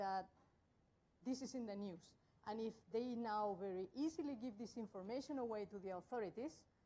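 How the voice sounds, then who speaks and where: Speaking at a moderate pace with long, frequent pauses, a woman with a strong Spanish accent uses lively intonation and a dark, mellow tone at a fairly high pitch. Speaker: tech conference speaker. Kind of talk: tech talk.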